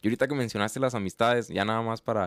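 A man's voice with fairly even intonation, dry and close with no echo, on a very clean recording with a silent background. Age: 20s. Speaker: podcast host. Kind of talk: casual interview.

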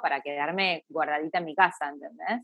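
A woman speaks with a Rioplatense accent. Her intonation is lively. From Argentina. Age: 40s. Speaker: singer-songwriter. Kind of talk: interview.

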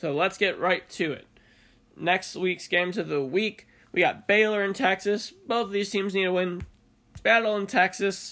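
A man projects a raised voice with a bright, sharp tone at a high pitch. His intonation is fairly even and his pace moderate. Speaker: college basketball podcast host. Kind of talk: casual sports talk monologue.

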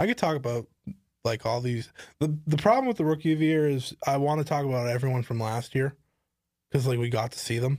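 Speaking at a fairly quick pace, a man uses a normal speaking voice at medium pitch. His pitch variation is ordinary. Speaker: podcast host. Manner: playful banter, interrupts.

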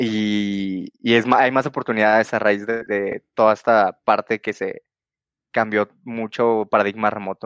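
The recording is dry and close with no echo, over a quiet background. A man speaks fairly slowly at a fairly low pitch, in a monotone, flat intonation. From Mexico, Guadalajara. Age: 20s. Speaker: software engineer. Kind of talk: interview. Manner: halting.

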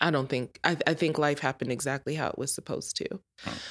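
A woman with an American accent, vocal fry and ordinary pitch variation. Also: very clean recording, silent background. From Colorado. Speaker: business owner. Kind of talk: casual chat.

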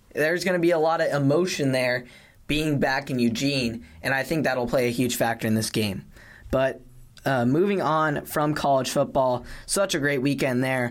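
This voice has an American accent and moves at a moderate pace. It is a normal speaking voice with ordinary pitch variation. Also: man, medium pitch for a man. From Colorado. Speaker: sports podcast host. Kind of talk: casual chat.

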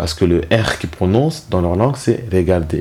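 A man with a very deep, low voice speaks at a fairly slow pace over noticeable background noise. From Rwanda, moved to France as a child. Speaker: genocide survivor, father. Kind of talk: personal testimony. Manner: detached at times; hesitant.

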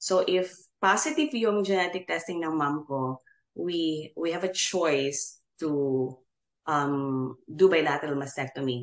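Ordinary pitch variation runs through speech delivered at a fairly slow pace. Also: woman, very deep, low pitch for a woman. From Philippines, General Santos City. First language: Tagalog/Bisaya. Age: 40s. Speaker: nurse and cancer survivor. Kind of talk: casual interview, Taglish code-switching. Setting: studio.

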